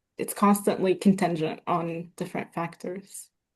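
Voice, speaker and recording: Somewhat breathy, flat, monotone delivery at a fairly slow pace. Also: woman. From Middle East. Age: 20s. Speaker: poet. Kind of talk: panel discussion.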